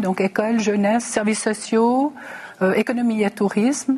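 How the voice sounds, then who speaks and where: A woman speaks at a moderate pace in a fairly high voice. Noticeable noise runs in the background. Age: 60s. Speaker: mayor and election candidate. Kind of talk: televised political debate.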